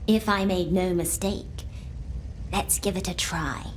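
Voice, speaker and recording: A put-on character voice that sounds female takes a calm tone at a fairly slow pace over clear background noise. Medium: video game. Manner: calm, enigmatic.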